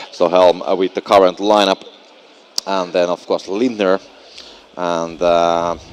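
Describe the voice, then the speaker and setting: A Finnish accent at a fairly slow pace, with monotone, flat intonation and long, frequent pauses. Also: man, very deep, low pitch for a man. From Finland. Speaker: esports commentator. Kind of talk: live commentary. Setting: live event venue.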